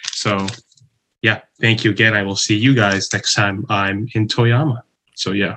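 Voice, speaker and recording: In an American accent, the speaker talks at a fairly slow pace with fairly even intonation and a bright, sharp tone. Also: man, fairly low pitch for a man. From Chicago, US Midwest. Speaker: former English teacher in Japan. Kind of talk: casual chat.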